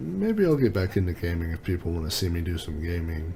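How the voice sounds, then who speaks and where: A man talks at a moderate pace in a very deep, low voice with a dark, mellow tone and a somewhat breathy quality. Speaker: tech reviewer YouTuber. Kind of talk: casual vlog monologue. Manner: laid back.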